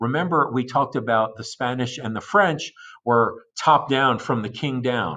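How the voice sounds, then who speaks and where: Over a quiet background, a man talks in an ordinary speaking voice at a medium pitch with ordinary pitch variation. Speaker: high school history teacher. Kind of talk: recorded lecture notes for students. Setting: recorded video lesson for asynchronous class.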